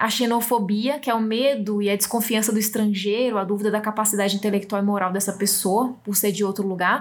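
A woman with a northeastern Brazilian accent, medium-pitched, at a fairly quick pace, in monotone, flat intonation and very even loudness, over noticeable background noise. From Brazil, Northeast. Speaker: podcast host. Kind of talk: reading aloud; casual chat.

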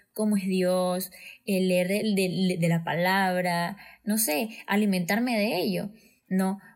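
A woman's voice is heard here. The pitch lands in the medium range. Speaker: guest. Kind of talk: testimony. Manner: animated.

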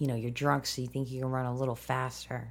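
A woman with a very deep, low pitch. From US Midwest. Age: 30s. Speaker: filmmaker and army veteran. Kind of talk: casual interview. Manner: rambling, goes off on tangents; excitable, profane.

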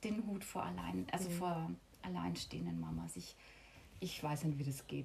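A woman's very deep, low voice shows vocal fry and very wide pitch swings. Long, frequent pauses break her speech amid audible room echo. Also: moderate pace. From Lower Franconia, Bavaria. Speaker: yoga teacher. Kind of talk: casual interview.

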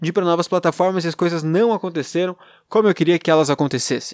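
A man with a fairly high pitch speaks with ordinary pitch variation. The recording is very clean and dry, with a close sound, no echo, and a silent background. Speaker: podcaster. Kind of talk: solo monologue, personal venting. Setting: alone at girlfriend's home. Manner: rambling, hesitant.

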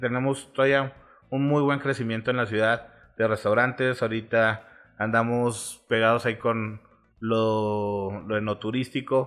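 Flat and monotone in intonation, a man speaks at a fairly slow pace with a medium pitch. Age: 30s. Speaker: food reviewer and marketer. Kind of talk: casual chat.

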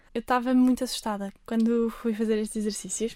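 Her pitch is fairly high for a woman. The tone stays dark and mellow. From Algarve, Portugal. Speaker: lay missionary volunteer. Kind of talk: radio interview. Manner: hesitant, many fillers.

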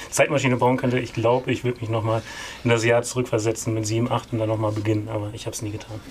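Monotone, flat intonation marks this man's speech. His pitch is medium, and his pace is very fast. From East Frisia, northern Germany. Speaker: film producer. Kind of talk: interview.

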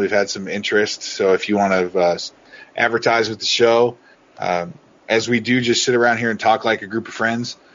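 A man with an American accent talks at a moderate pace and a medium pitch. His intonation is fairly even, with noticeable background noise. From Oregon. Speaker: podcast co-host. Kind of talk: casual chat.

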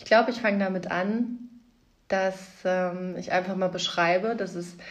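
Audible room echo surrounds a woman's somewhat breathy voice. She speaks at a fairly slow pace and a medium pitch. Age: 30s. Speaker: podcast host, mother. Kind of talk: casual monologue.

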